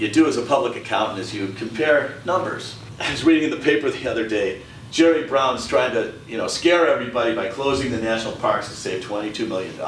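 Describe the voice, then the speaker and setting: A man speaking at a fairly quick pace, with audible room echo and light background noise. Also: ordinary pitch variation. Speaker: candidate. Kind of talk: campaign speech. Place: meeting room.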